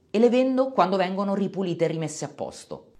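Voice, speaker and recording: Vocal fry runs through this man's voice. He moves along at a fairly quick clip. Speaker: finance YouTuber. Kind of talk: scripted narration.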